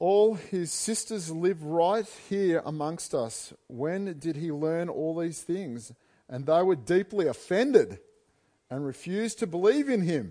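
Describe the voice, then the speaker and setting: A man's high voice with a dark, mellow tone, lively intonation, and a fairly slow pace over a quiet background. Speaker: preacher. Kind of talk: sermon. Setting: church. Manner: humorous, self-deprecating.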